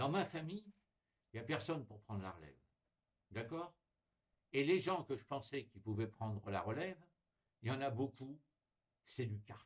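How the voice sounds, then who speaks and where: Using long, frequent pauses, a man speaks in a medium pitch and a somewhat breathy voice, with very wide pitch swings and big swings in loudness. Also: moderate pace. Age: 60s. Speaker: explorer and writer appealing to followers. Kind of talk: direct-to-camera appeal. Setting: recorded video at home, not live. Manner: animated, emphatic.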